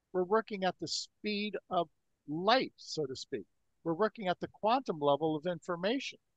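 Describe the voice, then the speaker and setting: A man talks at a moderate pace, his pitch high and his intonation lively. The sound is dry and close, with no echo. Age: 60s. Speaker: energy healing researcher. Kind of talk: podcast interview.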